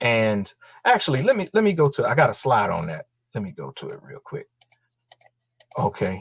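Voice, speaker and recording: The speaker has a Southern US accent and talks at a moderate pace, with long, frequent pauses and big swings in loudness. The sound is dry and close, with no echo. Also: man. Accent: Southern country. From North Carolina, rural. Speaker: language teacher. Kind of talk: interview. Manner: casual, relaxed.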